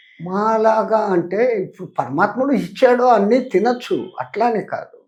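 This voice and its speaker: Over a quiet background, a man speaks with lively intonation. His pitch is high. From north India. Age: 80s+. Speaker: spiritual guru. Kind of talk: interview answer. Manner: clear, confident.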